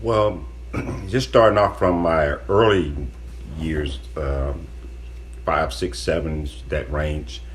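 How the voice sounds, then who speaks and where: In an American accent, a man speaks in a very deep, low voice with lively intonation, at a very slow pace with long, frequent pauses. Noticeable background noise and audible room echo are present. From Florida. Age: 60s. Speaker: guest, host's father. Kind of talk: casual podcast chat.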